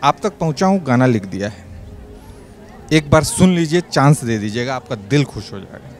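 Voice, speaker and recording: A man with a fairly high pitch speaks at a moderate pace with lively intonation. Noticeable background noise is present. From Bihar, India. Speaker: stand-up comedian. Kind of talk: stand-up comedy set to an audience. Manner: lively, humorous, conversational.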